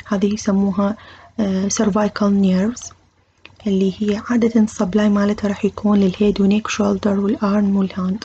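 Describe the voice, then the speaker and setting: At a fairly slow pace, a woman with an Iraqi accent speaks at a medium pitch in a dark, mellow, somewhat breathy tone with monotone, flat intonation. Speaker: medical university lecturer. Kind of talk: lecture. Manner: code-switching between Arabic and English terms.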